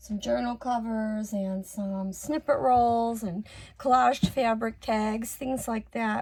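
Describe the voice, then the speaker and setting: On a very clean recording with a silent background, a woman speaks very slowly in a fairly high, somewhat breathy voice with fairly even intonation. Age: 60s. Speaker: crafter and online seller. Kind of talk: casual craft tutorial chat. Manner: casual with many fillers.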